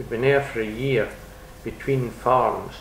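Light background noise and audible room echo surround a man who speaks at a fairly slow pace. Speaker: interviewee. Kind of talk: interview answer. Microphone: old recording.

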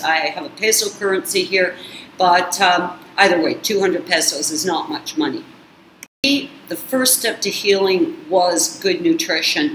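A woman's voice swings very widely in pitch, with audible room echo and light background noise. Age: 50s. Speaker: YouTube channel host on narcissistic abuse recovery. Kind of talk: casual vlog monologue. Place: kitchen. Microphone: webcam.

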